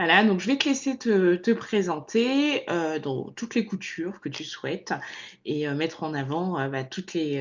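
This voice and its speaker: A woman's fairly slow speech with very wide pitch swings. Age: 30s. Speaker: podcast host. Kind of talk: podcast interview.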